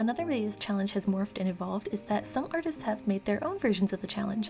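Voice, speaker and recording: Music plays behind a woman talking at a very fast pace. Her pitch is medium. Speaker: artist and manga creator. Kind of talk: casual voiceover talk over speedpaint.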